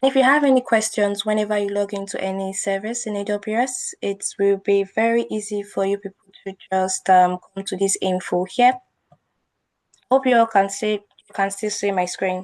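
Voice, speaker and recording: A woman's unremarkable speaking voice at a medium pitch, with fairly even intonation and a moderate pace. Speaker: cloud computing instructor. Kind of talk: live online class tutorial.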